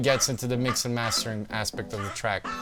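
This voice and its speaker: A man's fairly quick delivery plays out with music in the background. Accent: non-native. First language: not English. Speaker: music producer. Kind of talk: tutorial. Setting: home studio. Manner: casual.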